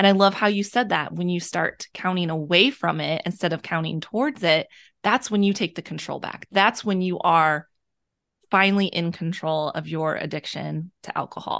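Against a quiet background, a woman uses a normal speaking voice, fairly low in pitch with ordinary pitch variation, at a moderate pace. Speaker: podcast host. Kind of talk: casual interview chat.

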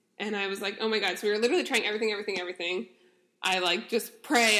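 Loud and fairly high-pitched, a woman speaks in a bright, sharp tone. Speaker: podcast host. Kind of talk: casual chat.

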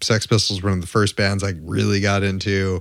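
In a very clean recording with a silent background, a man speaks at a moderate pace in a fairly low pitch. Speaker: podcast co-host, guitarist. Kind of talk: casual chat. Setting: home setup with handheld stage mics.

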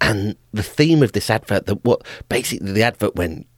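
On a very clean recording with a silent background and a dry, close sound with no echo, a man speaks with a British accent. His pitch is medium, his pace moderate and his pitch variation ordinary. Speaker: podcast host. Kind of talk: monologue. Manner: halting.

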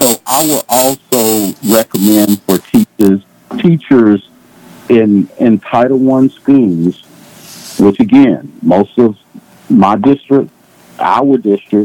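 A man of medium pitch speaks at a very slow pace with ordinary pitch variation, the sound dry and close with no echo. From Dallas, Texas. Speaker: congressional candidate. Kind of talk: interview.

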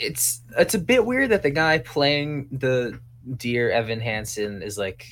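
A man's unremarkable speaking voice, medium in pitch, at a fairly slow pace. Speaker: podcaster guest. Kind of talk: casual chat.

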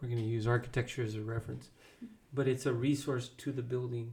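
Speaking at a fairly quick pace, a man uses a monotone, flat intonation. His medium-pitched voice is somewhat breathy. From Texas. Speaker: podcast co-host. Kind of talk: casual chat.

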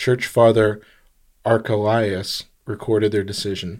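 An unremarkable speaking voice from a man with an American accent, fairly low in pitch, at a moderate pace, on a very clean recording with a silent background. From lived overseas as a child, American. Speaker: podcast co-host. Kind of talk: casual chat. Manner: joking, playful.

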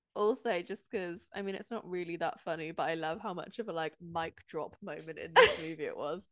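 A woman speaks in an unremarkable speaking voice at a fairly low pitch with ordinary pitch variation. She moves at a fairly quick pace with hardly any pauses. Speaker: podcast co-host. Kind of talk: casual chat.

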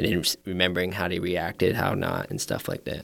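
In an American accent, a man with a very deep, low pitch talks at a very fast pace over a silent background in a very clean recording. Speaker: podcast guest. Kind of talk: casual chat.

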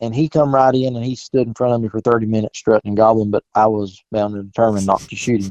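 In a dry, close sound with no echo, a man with a Southern US accent talks very fast at medium pitch with fairly even intonation. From South Carolina. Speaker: turkey hunter. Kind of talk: casual chat. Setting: phone call.

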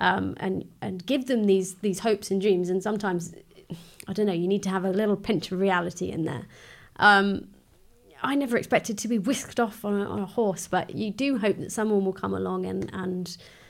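With an ordinary speaking voice at medium pitch, a woman talks at a fairly quick pace with ordinary pitch variation, recorded very cleanly over a silent background. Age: 30s. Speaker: beauty therapist sharing mental health experience. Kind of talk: casual chat.

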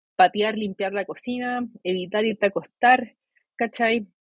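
A woman with a Chilean accent at a fairly slow pace, with ordinary pitch variation. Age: 20s. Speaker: psychologist. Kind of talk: interview.

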